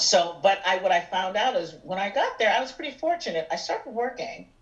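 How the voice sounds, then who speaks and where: A woman talks in an American accent at a fairly quick pace and medium pitch, with very wide pitch swings. Noticeable background noise sits behind her. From US Northeast, Erie, Pennsylvania. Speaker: musical theater singer and actress. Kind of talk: interview chat. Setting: podcast.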